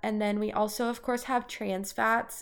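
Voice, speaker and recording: In a very clean recording with a silent background, a woman with an unremarkable speaking voice talks at a moderate pace and medium pitch, her intonation fairly even. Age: 20s. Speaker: dietitian podcast host. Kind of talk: casual educational monologue.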